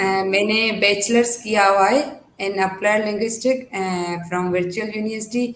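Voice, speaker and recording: A woman speaks with a Sindhi accent. She leaves hardly any pauses. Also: medium pitch for a woman, fairly even intonation. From Pakistan, Hyderabad, Sindh. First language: Sindhi (speaking Hindi). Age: 20s. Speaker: trainee teacher, housewife. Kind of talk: interview. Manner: hesitant, many fillers.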